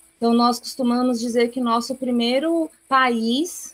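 The woman has a plain, everyday voice. It sits fairly high and moves at a fairly slow pace. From Brazil. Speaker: missionary. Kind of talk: interview.

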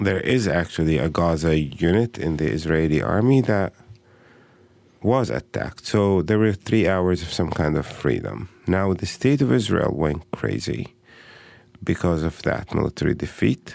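With an Arabic accent, a man speaks at a very deep, low pitch. His moderate pace carries very wide pitch swings. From Palestine (Bethlehem). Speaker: educator and human rights advocate. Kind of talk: interview. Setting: studio.

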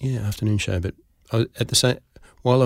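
With an Australian accent, a man speaks very fast in a somewhat breathy voice. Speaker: actor and comedy writer. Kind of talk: interview conversation.

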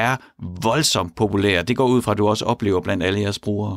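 A man speaks in a very clean recording with a silent background and a dry, close sound with no echo. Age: 40s. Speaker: radio host. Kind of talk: radio talk show. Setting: studio.

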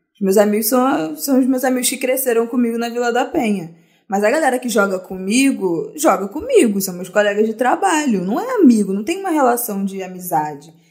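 A woman with a Carioca accent, fairly high pitch, very wide pitch swings, a fairly quick pace and hardly any pauses. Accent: carioca Brazilian Portuguese. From Rio de Janeiro, Brazil (Zona Norte). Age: 20s. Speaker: podcast guest. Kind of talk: casual chat.

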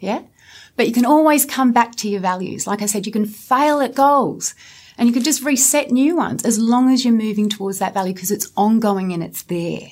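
With an Australian accent, a woman speaks fairly quickly in a fairly high pitch with ordinary pitch variation. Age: 40s. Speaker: clinical psychologist. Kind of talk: interview.

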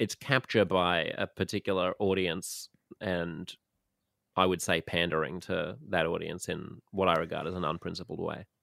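Very clean, with a silent background and a dry, close sound with no echo, the recording carries a man's very deep, low pitch. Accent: Australian. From Australia. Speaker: podcast host. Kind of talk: casual chat. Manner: animated.

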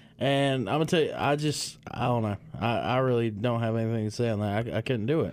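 Very fast and at a very even loudness, a man with a medium pitch speaks with ordinary pitch variation. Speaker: car radio show co-host. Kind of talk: casual chat. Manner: halting.

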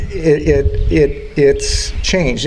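A man speaks with an American accent. Audible room echo and noticeable background noise are present. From Chicago area, Illinois. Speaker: park district naturalist and educator. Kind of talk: interview. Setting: outdoors at a nature facility. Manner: halting, repetitive.

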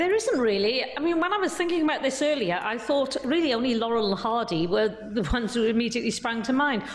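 Amid noticeable background noise, a woman talks at a very fast pace in a fairly high voice with lively intonation. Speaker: entertainment journalist covering New York. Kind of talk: panel discussion.

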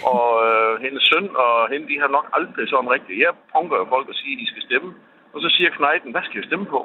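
A man's lively intonation rises and falls as he talks at a moderate pace. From Denmark, Kolding. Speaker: radio caller. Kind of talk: phone-in call. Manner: halting, many fillers.

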